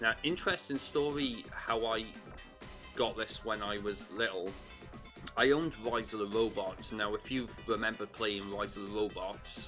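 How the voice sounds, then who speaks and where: There is music in the background as a man speaks at a medium pitch. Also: ordinary pitch variation, moderate pace. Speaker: retro video game collector. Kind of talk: casual talk to camera.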